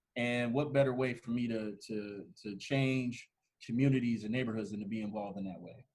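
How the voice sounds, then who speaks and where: An unremarkable speaking voice, a man with an American accent, medium pitch, fairly even intonation and a moderate pace. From Ohio, Canton. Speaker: urban planner. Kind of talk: podcast interview.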